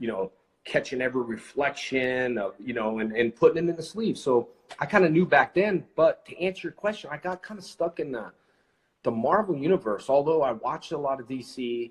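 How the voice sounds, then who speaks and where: A man's somewhat breathy voice, fairly quick, with lively intonation. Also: fairly high pitch for a man, big swings in loudness. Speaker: actor and live show host. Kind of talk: casual livestream conversation with a guest.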